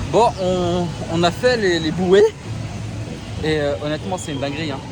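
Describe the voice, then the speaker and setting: A man's fairly high voice with lively intonation, noticeable background noise and audible room echo. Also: moderate pace. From Alsace, France. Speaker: travel vlogger. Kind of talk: casual vlog chat.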